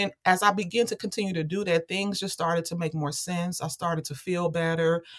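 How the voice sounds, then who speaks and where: With an American accent, a woman in an unremarkable speaking voice talks at a fairly quick pace with hardly any pauses, her fairly low pitch held in fairly even intonation. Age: 40s. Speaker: author and activist. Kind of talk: interview.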